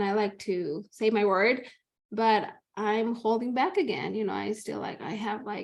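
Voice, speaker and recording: A woman with a Spanish accent talks at a moderate pace. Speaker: mother and upcoming podcaster. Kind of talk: podcast interview. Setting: recorded podcast. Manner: halting.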